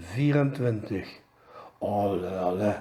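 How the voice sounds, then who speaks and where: A man with a Belgian Limburg accent speaks at a very slow pace. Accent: Pelt dialect, Limburg Flemish. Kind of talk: joke told in dialect.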